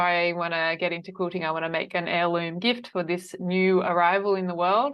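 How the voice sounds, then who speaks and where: A woman speaks with an Australian accent. Her pitch sits fairly low. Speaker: quilt designer and online teacher. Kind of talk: interview.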